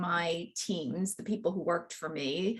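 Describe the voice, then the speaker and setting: Speaking at a moderate pace with ordinary pitch variation, a woman has an unremarkable speaking voice. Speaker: success coach. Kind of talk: presentation.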